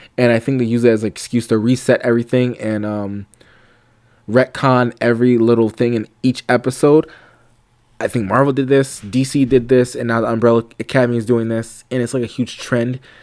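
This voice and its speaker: A man talks in a monotone with flat intonation. The sound is dry and close, with no echo. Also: medium pitch for a man, fairly quick pace. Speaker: YouTuber reviewing TV shows. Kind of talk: casual review monologue. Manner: fast; hesitant, many fillers.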